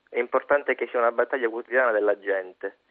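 A medium-pitched man talking at a very fast pace. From Calabria, Cosenza. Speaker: student activist, event organizer. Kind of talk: radio statement.

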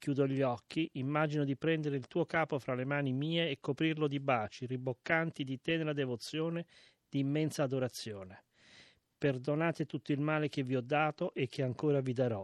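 A normal speaking voice moves at a fairly quick pace with fairly even intonation, recorded dry and close with no echo against a quiet background. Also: man, fairly high pitch for a man. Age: 60s. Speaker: reader of a historical letter. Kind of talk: reading aloud.

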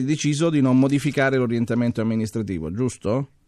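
Background noise is clearly audible. Through it, a man talks. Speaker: radio host. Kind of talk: listener question segment.

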